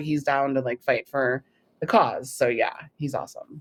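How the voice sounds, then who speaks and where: A woman with a Californian accent speaks at a very deep, low pitch. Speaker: filmmaker and vaccine-injury advocate. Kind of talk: interview.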